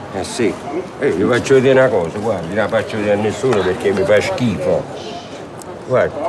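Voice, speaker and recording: Amid noticeable background noise and audible room echo, a man talks at a fairly quick pace with ordinary pitch variation and long, frequent pauses. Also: medium pitch for a man. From Naples, southern Italy. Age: 80s+. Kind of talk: street interview. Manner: animated.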